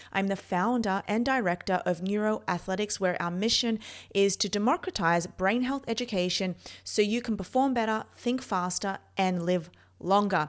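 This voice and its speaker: A woman speaks with an Australian accent at a moderate pace. Her pitch variation is ordinary, and the recording is very clean with a silent background. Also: medium pitch for a woman. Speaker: neurophysiologist and performance coach. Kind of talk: personal story monologue. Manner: casual, with fillers.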